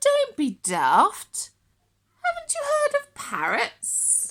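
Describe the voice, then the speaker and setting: A woman's put-on character voice, extremely high in pitch, delivered at a very slow pace. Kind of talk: bedtime story. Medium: read story.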